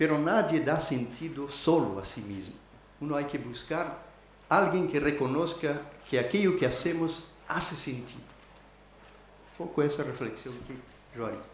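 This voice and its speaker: Amid noticeable background noise and audible room echo, a man with a fairly high pitch talks at a moderate pace with ordinary pitch variation and long, frequent pauses. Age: 60s. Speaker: academic keynote speaker. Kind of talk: conference talk. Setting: university auditorium. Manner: halting, with many hesitations.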